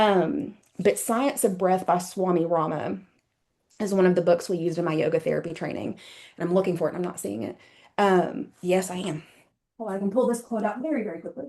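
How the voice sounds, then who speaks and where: A woman with a medium pitch and a dark, mellow tone talks at a fairly quick pace with lively intonation. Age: 30s. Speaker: yoga therapist and mind-body practitioner. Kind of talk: interview conversation. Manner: fast.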